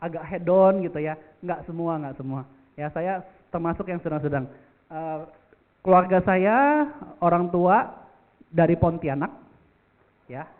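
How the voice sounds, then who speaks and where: A man with a Jakarta accent speaks fairly slowly in a high pitch, with ordinary pitch variation, big swings in loudness, and long, frequent pauses. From Jakarta, Indonesia. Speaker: insurance agency director and motivational speaker. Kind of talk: motivational talk. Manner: casual, many fillers.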